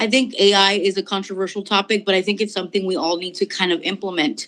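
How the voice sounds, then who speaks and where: This is a woman speaking at a medium pitch. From US, immigrant from Mexico since age three. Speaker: entrepreneur and company founder. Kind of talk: online talk. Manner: casual, with many fillers.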